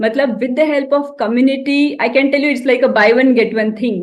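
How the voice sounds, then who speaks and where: Audible room echo surrounds a woman's high voice. She speaks at a fairly quick pace with ordinary pitch variation. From India, Maharashtra small town. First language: Marathi. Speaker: health coach and veterinary doctor. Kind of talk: motivational talk.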